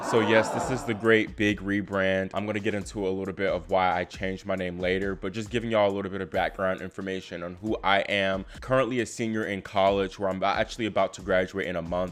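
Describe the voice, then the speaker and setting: With an American accent, a man with a fairly low pitch talks at a very fast pace, with hardly any pauses and fairly even intonation. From Virginia, US. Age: 20s. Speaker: tennis YouTuber, college student. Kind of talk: casual vlog talk to camera.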